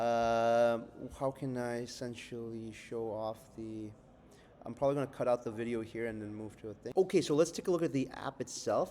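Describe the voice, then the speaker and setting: A man speaks at a medium pitch and a fairly quick pace. His tone is dark and mellow, and he has a non-native accent. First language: not English. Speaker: software developer in training program. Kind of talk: project demo update. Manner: halting, many fillers; casual.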